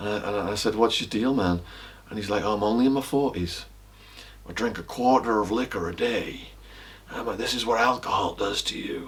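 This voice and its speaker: Speaking at a fairly quick pace with an English accent, a man uses fairly low pitch and ordinary pitch variation. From northern England, Widnes (Cheshire, near Liverpool). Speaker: author and former drug trafficker. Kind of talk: casual interview. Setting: at his house.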